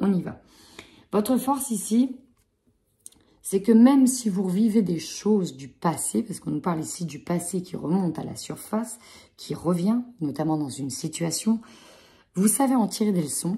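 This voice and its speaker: A woman speaks at a moderate pace and medium pitch, her dark, mellow tone somewhat breathy. Her intonation is lively, and the recording is very clean with a silent background. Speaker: tarot card reader. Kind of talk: tarot reading.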